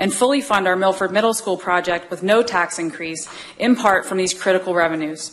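Light background noise sits beneath a woman who talks fairly quickly. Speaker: school district official giving public comment. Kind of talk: prepared public comment statement. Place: hall. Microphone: podium.

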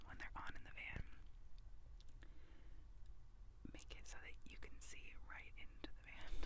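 Over loud background noise, a woman speaks at a moderate pace. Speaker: asmr vlogger. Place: car. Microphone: lapel.

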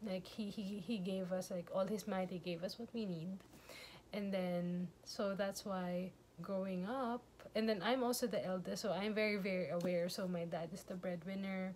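With a slightly mellow tone, a woman speaks at a medium pitch and with fairly even intonation. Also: moderate pace.

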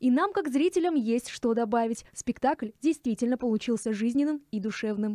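A woman with a high pitch and a dark, mellow tone speaks with lively intonation in a dry, close sound with no echo. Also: moderate pace, hardly any pauses. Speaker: culture news reporter. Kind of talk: news reading.

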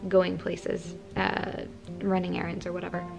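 A woman at a moderate pace, with clear music in the background. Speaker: vlogger. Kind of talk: casual vlog chat. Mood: calm, a bit subdued. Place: home room. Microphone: phone near.

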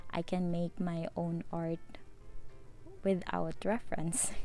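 A woman's fairly low pitch and fairly even intonation at a fairly slow pace, dry with no echo, with music in the background. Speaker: hobby painter vlogger. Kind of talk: casual vlog voice-over.

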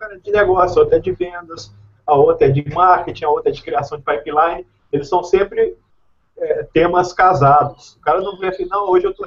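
At a fairly quick pace, a man with a high pitch talks with fairly even intonation. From Belo Horizonte, Minas Gerais, Brazil. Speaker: IT professional and content writer; online course teacher. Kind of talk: casual group video call. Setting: video call. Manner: repeats words, stammering. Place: home room.

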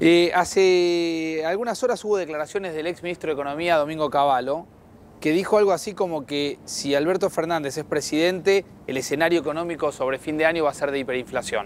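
Over light background noise, a man with a fairly high voice talks at a fairly quick pace with ordinary pitch variation and a dry sound with no echo. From Argentina. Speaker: TV news host. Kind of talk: TV interview. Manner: hesitant, many fillers. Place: studio. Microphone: lapel.

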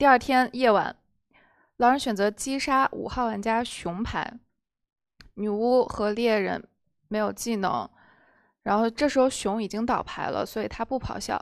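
Over a quiet background, a woman talks at a fairly slow pace with fairly even intonation and long, frequent pauses. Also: fairly high pitch for a woman. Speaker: werewolf game moderator. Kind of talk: game moderation. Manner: formal. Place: studio.

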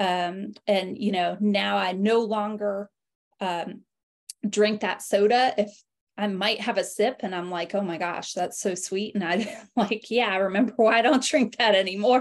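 This woman talks at a fairly slow pace with fairly even intonation. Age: 40s. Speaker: health coach and network marketing affiliate. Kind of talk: online webinar presentation. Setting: video call. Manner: hesitant with fillers. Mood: warm, personal testimony. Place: home room. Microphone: video call.

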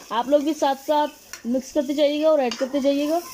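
With a high pitch and fairly even intonation, a woman speaks in a dark, mellow tone.

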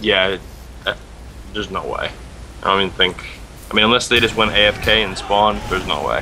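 Long, frequent pauses mark this man's speech, with noticeable background noise. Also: moderate pace. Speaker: co-caster. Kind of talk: live commentary.

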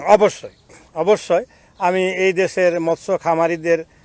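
Dry and close with no echo, this man's high-pitched voice stays monotone and flat. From Bangladesh, Jamalpur. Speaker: engineer and fish farmer. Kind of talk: interview testimony.

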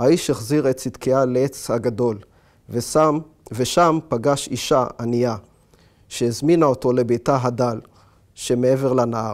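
A man speaks at a very slow pace with long, frequent pauses, very even loudness and fairly even intonation over a quiet background. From Israel. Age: 40s. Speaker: author. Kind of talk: reading aloud; interview monologue. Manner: hesitant with fillers. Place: home room. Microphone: lapel.

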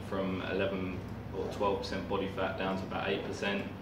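Noticeable background noise behind a man speaking. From Essex, England. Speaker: martial arts camp guest. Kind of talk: testimonial talk to camera. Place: gym. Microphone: camera far.

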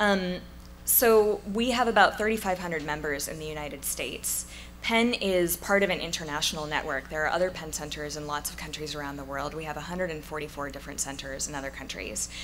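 Her pitch very deep and low, a woman speaks at a moderate pace with ordinary pitch variation and big swings in loudness, over light background noise. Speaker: speaker. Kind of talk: conference talk. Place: hall. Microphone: podium.

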